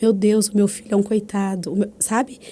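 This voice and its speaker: Moving at a moderate pace, the speech carries a dark, mellow tone. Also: woman. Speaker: podcast host. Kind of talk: casual podcast conversation.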